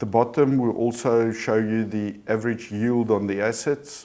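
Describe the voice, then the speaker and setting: Dark and mellow, the man's voice sits at a fairly low pitch with monotone, flat intonation. He speaks at a fairly slow pace. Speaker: company CEO. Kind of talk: corporate results presentation. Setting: live stream.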